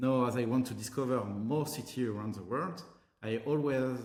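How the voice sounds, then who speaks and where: A man speaks at a moderate pace with a French accent. There is audible room echo and noticeable background noise. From France, Paris. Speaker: tech company co-founder and CTO. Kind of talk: tutorial.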